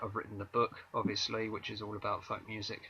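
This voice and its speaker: A man with a southern English accent speaks at a moderate pace. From southern England, Maidstone, Kent. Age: 30s. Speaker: author and singer-songwriter. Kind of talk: interview. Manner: hesitant, many fillers.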